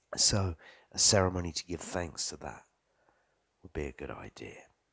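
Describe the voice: A man speaks at a moderate pace with an extremely low pitch, vocal fry and a slightly husky edge. His tone is bright and sharp, and his intonation is lively.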